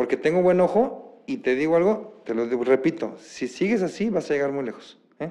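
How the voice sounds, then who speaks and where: This man talks fairly quickly. His voice has a dark, mellow tone. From Mexico, Guadalajara. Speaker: real estate agent. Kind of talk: interview.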